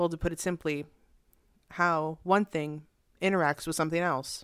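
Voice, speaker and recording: A woman in an ordinary speaking voice, fairly low in pitch, with ordinary pitch variation. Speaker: podcast host. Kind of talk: interview.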